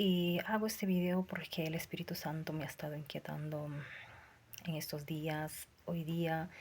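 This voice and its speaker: This woman speaks at a fairly slow pace in a fairly low, somewhat breathy voice with fairly even intonation. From Peru, Lima. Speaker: self-described prophet, preacher. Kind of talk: religious testimony. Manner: fervent, preaching.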